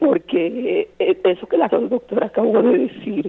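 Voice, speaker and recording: Over noticeable background noise, a woman speaks at a fairly slow pace, her pitch swinging very widely. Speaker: caller. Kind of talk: casual chat. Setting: phone call.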